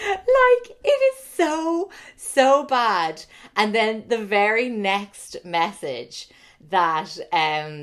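A woman talks in an Irish accent with lively intonation. The recording is very clean, with a silent background. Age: 30s. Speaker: author and podcaster. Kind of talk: casual chat.

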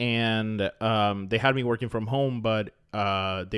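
A man with an ordinary speaking voice, medium in pitch, with an American accent. His intonation stays fairly even, and the recording is very clean with a silent background. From Florida. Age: 30s. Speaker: podcast co-host. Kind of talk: casual chat.

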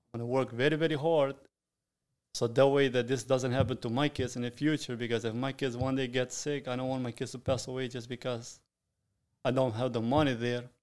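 On a very clean recording with a silent background, a man with a Sicilian accent speaks fairly quickly in a flat, monotone medium pitch. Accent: Italian (Sicilian) accent in English. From Sicily, Italy. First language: Italian. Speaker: restaurant owner and chef. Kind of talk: interview.

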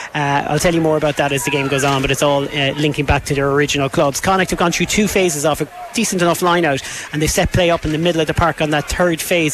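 With noticeable background noise behind him, a man talks very fast in an animated tone, his fairly high pitch showing ordinary variation. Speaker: play-by-play rugby commentator. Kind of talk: live sports commentary, play-by-play. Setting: stadium commentary position, open air with wind and rain. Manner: fast, animated, urgent as the action builds.

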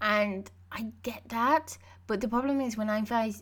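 With an unremarkable speaking voice, a woman speaks at a fairly slow pace and fairly high pitch, using ordinary pitch variation. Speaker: podcast host. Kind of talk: casual chat.

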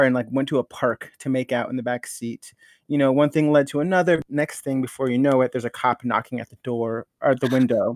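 In an American accent, a man with an ordinary speaking voice and a fairly high pitch talks at a fairly quick pace with hardly any pauses, recorded very clean with a silent background and a dry, close sound with no echo. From Los Angeles area (Norwalk), California. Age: 30s. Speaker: leather titleholder, performer. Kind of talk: casual interview.

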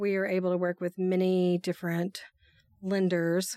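Recorded very cleanly against a silent background, a woman's medium-pitched voice has a dark, mellow tone and a dry, close sound with no echo. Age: 40s. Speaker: mortgage broker and podcast host. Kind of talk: casual chat.

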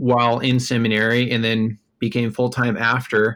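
On a very clean recording with a silent background, a man with an American accent speaks at a moderate pace in a medium pitch, his tone bright and sharp. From US Midwest, Des Moines, Iowa. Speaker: author and career development director. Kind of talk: interview conversation.

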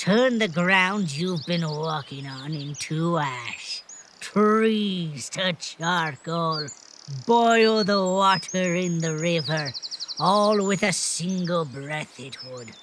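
Someone uses a put-on character voice at a middle pitch, going at a very slow pace. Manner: gruff, mocking.

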